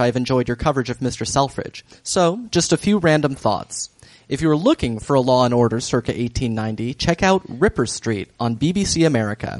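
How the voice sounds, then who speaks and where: An ordinary speaking voice, a man's at a fairly high pitch, runs at a fairly quick pace with hardly any pauses and lively intonation, the sound dry and close with no echo. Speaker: podcast host. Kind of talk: casual banter recap podcast.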